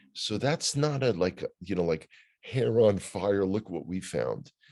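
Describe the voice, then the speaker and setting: With a New York accent and lively intonation, a man talks at a fairly slow pace over a quiet background. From US Northeast, New York City (Bronx). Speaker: news commentator. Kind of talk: casual chat. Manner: halting.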